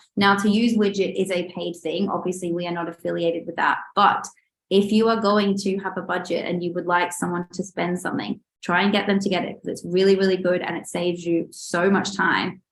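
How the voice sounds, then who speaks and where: A medium-pitched woman talks fairly quickly in a monotone, flat intonation. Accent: Australian. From Australia. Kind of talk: webinar presentation. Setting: online webinar.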